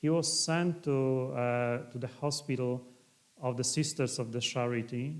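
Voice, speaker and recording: A man with a Polish accent speaks at medium pitch and a fairly slow pace, his intonation fairly even. Room echo is audible. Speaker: priest and historian. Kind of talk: lecture. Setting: livestream talk. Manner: halting.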